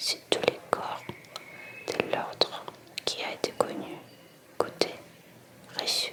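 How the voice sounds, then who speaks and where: Over noticeable background noise, a woman whispers very slowly, with long, frequent pauses. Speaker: ASMR reader. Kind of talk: reading aloud. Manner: soft-spoken.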